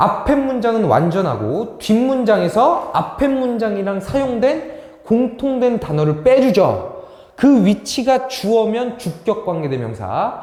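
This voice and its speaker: Amid noticeable background noise and audible room echo, a man speaks with a high voice and lively intonation. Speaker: English academy teacher. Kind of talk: lecture. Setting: classroom recorded on camera.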